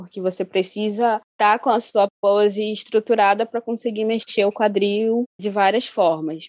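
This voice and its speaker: The speech comes at a moderate pace with hardly any pauses, fairly even intonation and a Rio de Janeiro accent. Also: woman, medium pitch for a woman. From Angola. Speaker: menstrual educator, body researcher. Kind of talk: casual interview chat.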